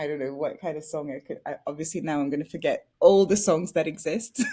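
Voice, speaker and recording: Over music in the background, a woman with a bubbly tone and fairly low pitch speaks at a fairly quick pace. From France (Paris). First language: French. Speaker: actress. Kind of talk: interview.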